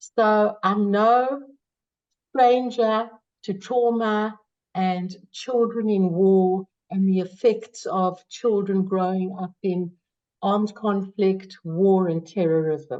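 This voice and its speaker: In a South African accent, a woman speaks very slowly at a medium pitch. Her tone is dark and mellow, with ordinary pitch variation. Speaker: psychology professor. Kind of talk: webinar presentation.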